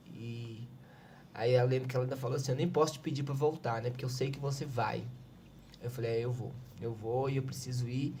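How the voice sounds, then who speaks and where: With audible room echo behind him, a man speaks at medium pitch and a fairly quick pace, his tone dark, mellow and somewhat breathy, his intonation fairly even, and his speech broken by long, frequent pauses. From Minas Gerais, Brazil. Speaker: civil defense coordinator. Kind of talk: podcast interview, personal testimony.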